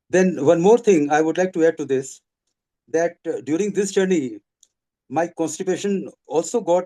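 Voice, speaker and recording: A man's high-pitched voice, dark and mellow in tone, at a moderate pace with ordinary pitch variation, dry and close with no echo. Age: 70s. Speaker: retiree sharing health testimony. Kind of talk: testimony. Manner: halting.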